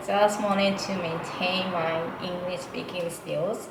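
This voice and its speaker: A woman at a very slow pace with a fairly low pitch and fairly even intonation, amid noticeable background noise and audible room echo. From Japan, Nara. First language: Japanese. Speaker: interpreter. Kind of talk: interview. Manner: hesitant, many fillers.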